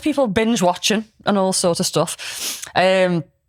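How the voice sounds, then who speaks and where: A woman talks with a Scouse accent. Her pace is fairly slow. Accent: Scouse, somewhat posh. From Liverpool, England. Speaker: podcast host and midwife. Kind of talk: casual chat. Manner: animated.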